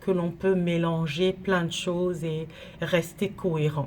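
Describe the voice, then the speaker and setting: Somewhat breathy and fairly low in pitch, a woman speaks at a very slow pace. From Cameroon. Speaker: teacher and NGO director. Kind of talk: direct-to-camera monologue. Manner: measured, with hesitations.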